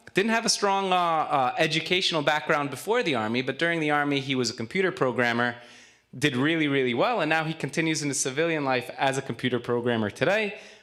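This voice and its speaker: Very fast speech from a man with a New York accent, fairly high pitch, lively intonation and a bright, sharp tone. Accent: New York American English. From US Northeast (Queens, New York). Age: 40s. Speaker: nonprofit volunteer, former army spokesman. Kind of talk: presentation speech. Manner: fluent, brisk.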